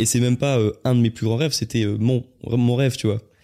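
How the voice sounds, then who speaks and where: A dark, mellow voice moves at a fairly quick pace in a monotone, flat intonation, on a very clean recording with a silent background. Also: man. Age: 20s. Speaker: YouTuber and podcaster. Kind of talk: casual chat.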